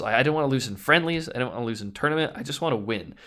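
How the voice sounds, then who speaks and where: On a very clean recording with a silent background, a man with a fairly high pitch speaks with lively intonation. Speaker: professional esports player. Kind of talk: interview.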